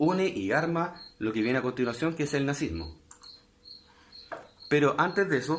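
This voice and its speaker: A man at a medium pitch speaks with very wide pitch swings amid audible room echo. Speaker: history teacher. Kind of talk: online lecture.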